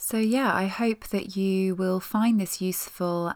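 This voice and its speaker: In a very clean recording with a silent background, a woman with a plain, everyday voice speaks at a fairly slow pace with fairly even intonation. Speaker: podcast host and meditation guide. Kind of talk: guided meditation. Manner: slow, gentle, soothing; calm, soft-spoken, with pauses.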